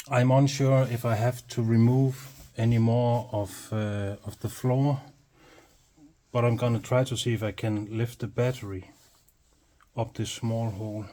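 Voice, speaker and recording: In a Danish accent, a man speaks fairly slowly and somewhat breathily at medium pitch, monotone and flat, with long, frequent pauses. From Denmark. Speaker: hobby mechanic and video creator. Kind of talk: casual work narration. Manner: halting, with fillers.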